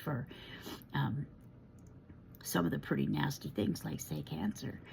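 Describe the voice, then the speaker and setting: Her voice very deep and low with vocal fry, a woman with an American accent speaks at a moderate pace, her pitch swinging very widely. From United States. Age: 60s. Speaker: tarot reader. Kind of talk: casual monologue. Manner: hesitant, frequent fillers.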